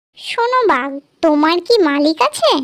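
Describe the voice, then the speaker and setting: This cartoonish character voice has an extremely high pitch. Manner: quick, confident.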